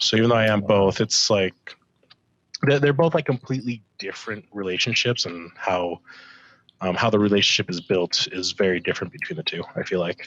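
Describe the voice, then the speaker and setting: A man talks at a fairly quick pace in a normal speaking voice, fairly low in pitch, with lively intonation. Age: 20s. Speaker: podcast guest, stepfather. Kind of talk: casual podcast chat.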